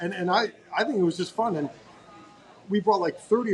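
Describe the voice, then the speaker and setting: Over noticeable background noise, a man speaks loudly and very fast with ordinary pitch variation. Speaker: podcast host. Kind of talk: casual interview.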